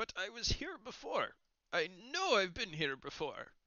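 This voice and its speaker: A man puts on a character voice pitched high. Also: moderate pace. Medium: actual play. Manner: genial, rambling.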